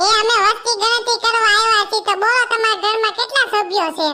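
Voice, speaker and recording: A squeaky cartoonish character voice of a woman, extremely high-pitched, at a moderate pace with very even loudness and fairly even intonation. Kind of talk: comic overacting. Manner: loud, bantering.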